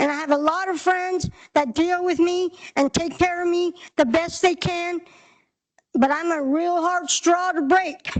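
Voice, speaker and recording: Her pitch is extremely high. The woman talks at a fairly slow pace with an American accent. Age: 60s. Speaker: clubhouse member speaking at public hearing. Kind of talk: public testimony. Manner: halting, hesitant.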